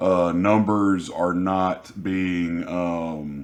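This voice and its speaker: His voice very deep and low, a man speaks with fairly even intonation. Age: 30s. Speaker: vlogger. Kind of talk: personal vlog. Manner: hesitant, many fillers.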